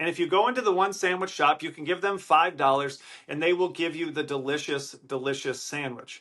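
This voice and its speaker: Loud and bright with a sharp tone, a man with an American accent talks at a moderate pace with lively intonation against a quiet background. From Wisconsin, Milwaukee. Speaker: podcast host. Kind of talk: solo podcast monologue. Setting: hotel room. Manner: animated.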